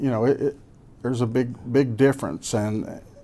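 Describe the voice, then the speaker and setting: In a Kentucky Appalachian accent, a man speaks at a moderate pace with fairly even intonation and a dark, mellow tone. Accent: Kentucky Appalachian Southern US. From Kentucky (Laurel County). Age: 60s. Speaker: businessman and former college football player. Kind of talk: casual interview.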